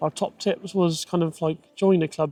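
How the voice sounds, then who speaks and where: The speaker talks at a moderate pace with an English accent, the sound dry and close with no echo. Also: man. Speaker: vlogger, parent. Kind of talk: casual chat.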